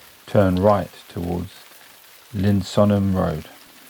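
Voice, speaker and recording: Against noticeable background noise, a man speaks very slowly at a very deep, low pitch. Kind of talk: sleep story. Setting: studio. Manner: soft-spoken, slow, soothing.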